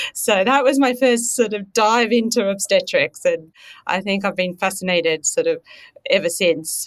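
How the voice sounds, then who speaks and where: Fairly high in pitch with ordinary pitch variation, a woman speaks in an Australian accent. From rural Australia. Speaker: veterinary scientist. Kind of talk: casual interview.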